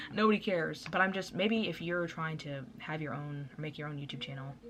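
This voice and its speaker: A woman's very deep, low voice amid audible room echo. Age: young. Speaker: vlogger. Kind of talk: casual chat. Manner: fast.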